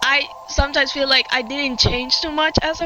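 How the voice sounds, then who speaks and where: This woman talks fairly slowly in a high voice with a strong Puerto Rican accent. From Puerto Rico. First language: Spanish. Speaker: gaming streamer. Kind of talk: casual chat. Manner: halting.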